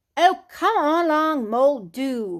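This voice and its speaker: Her put-on character voice is high in pitch, and the woman keeps a fairly slow pace. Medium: read story. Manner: brisk, cheerful.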